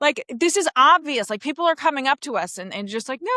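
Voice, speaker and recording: Speaking at a moderate pace in a Queens accent, a woman sounds animated, her pitch swinging very widely in a dry, close sound with no echo. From New York City, Queens. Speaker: comedian. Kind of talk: podcast interview.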